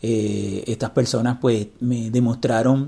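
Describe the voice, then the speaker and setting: Against noticeable background noise, a man speaks fairly slowly at medium pitch. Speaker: podcast host, blind technology advocate. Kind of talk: interview.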